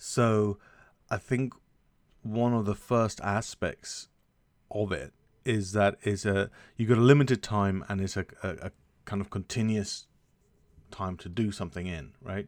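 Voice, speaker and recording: In an English accent, a man speaks fairly slowly at a fairly low pitch with ordinary pitch variation and long, frequent pauses, on a very clean recording with a silent background. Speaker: podcast co-host, developer. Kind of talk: casual chat.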